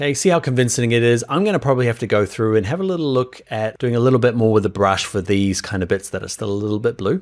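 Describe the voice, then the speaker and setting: Delivered in a New Zealand accent with an enthusiastic tone and lively intonation, the speech comes through in a very clean recording over a silent background. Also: man. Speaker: software instructor. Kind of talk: tutorial. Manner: casual, enthusiastic.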